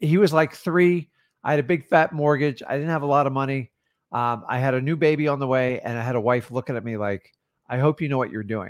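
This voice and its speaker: A normal speaking voice in an American accent, fairly quick, with ordinary pitch variation on a very clean recording with a silent background. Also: man, fairly high pitch for a man. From Florida. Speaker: real estate wholesaling coach. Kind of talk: motivational livestream talk. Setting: livestream.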